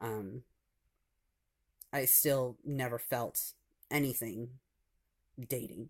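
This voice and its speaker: Fairly even intonation from a man at medium pitch, in a very clean recording with a silent background. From US Midwest (Michigan, Ohio). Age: 20s. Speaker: vlogger. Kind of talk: personal testimony. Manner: halting, many fillers.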